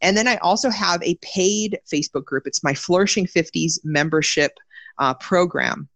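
A woman with a fairly low pitch speaks in a normal speaking voice at a moderate pace with ordinary pitch variation, the sound dry and close with no echo over a quiet background. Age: 30s. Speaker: health and self-care coach, personal trainer. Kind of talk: interview conversation.

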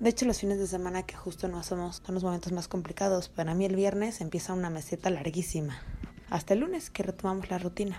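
Her intonation holds fairly even. This woman talks at a very fast pace. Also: medium pitch for a woman. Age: 30s. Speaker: market researcher. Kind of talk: recorded testimony.

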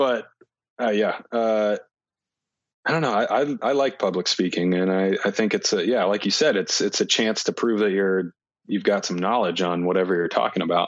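A man with an ordinary speaking voice and a fairly low pitch talks at a moderate pace, with ordinary pitch variation and very even loudness. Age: 20s. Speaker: disc golf player. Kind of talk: casual chat.

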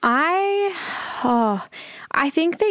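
Speaking with an Australian accent, a woman shows ordinary pitch variation. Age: 20s. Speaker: charity founder and CEO. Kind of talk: interview conversation.

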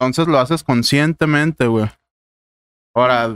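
A man talks at a moderate pace with ordinary pitch variation, the sound dry and close with no echo. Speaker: podcast guest. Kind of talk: casual chat.

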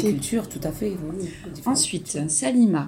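A woman's fairly low pitch and lively intonation, with audible room echo. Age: 40s. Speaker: mother describing an artwork with her daughter. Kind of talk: casual commentary describing a drawing. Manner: hesitant, with fillers.

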